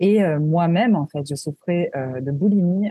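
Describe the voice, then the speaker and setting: Somewhat breathy, a woman's voice comes through with a dry, close sound and no echo. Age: 30s. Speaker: wellness entrepreneur, former nurse. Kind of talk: interview.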